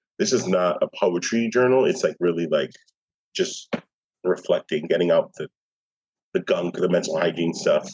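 A man with an American accent, in a dry, close sound with no echo. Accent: New York, Nuyorican. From New York City (Bronx, East Harlem). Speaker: poet and arts administrator. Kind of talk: interview conversation.

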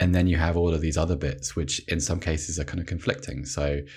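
Vocal fry runs through a man's very deep, low voice as he speaks very fast with fairly even intonation. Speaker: sportswriter. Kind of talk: casual chat.

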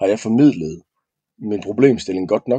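A dark, mellow tone with ordinary pitch variation comes through dry and close with no echo over a quiet background. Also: man. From West Jutland, Denmark. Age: 30s. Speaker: former soldier. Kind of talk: casual chat. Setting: studio. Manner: halting, many fillers and repeats.

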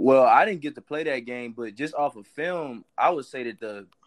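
A man with a New Orleans accent at a fairly quick pace with ordinary pitch variation, dry and close with no echo, over a quiet background. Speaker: college football player. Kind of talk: casual interview.

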